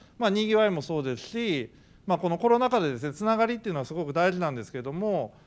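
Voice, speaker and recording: Here a man talks at a high pitch. His voice makes very wide pitch swings. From Kyoto. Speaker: panel moderator, professor. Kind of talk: panel discussion. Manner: fast. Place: hall. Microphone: handheld.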